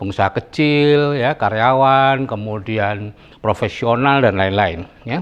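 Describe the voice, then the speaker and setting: A man is speaking. His pace is fairly slow. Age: 70s. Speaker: retired doctor giving financial talk. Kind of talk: talk to an audience.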